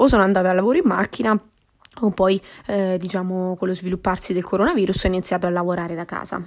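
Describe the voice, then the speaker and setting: At a very fast pace, a woman speaks at medium pitch. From Marche, central Italy. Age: 20s. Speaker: podcaster. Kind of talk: casual monologue. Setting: at home during quarantine. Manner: hesitant, with frequent fillers.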